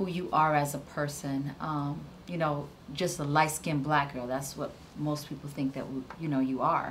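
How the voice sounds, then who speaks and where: A woman's very deep, low voice in a flat monotone, with audible room echo. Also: moderate pace. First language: Spanish. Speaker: web series creator hosting premiere panel. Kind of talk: live panel discussion.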